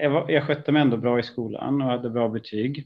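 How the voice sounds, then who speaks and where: Fairly even intonation at a medium pitch from a man. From Stockholm, Sweden. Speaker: AI executive. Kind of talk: interview. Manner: hesitant, many fillers.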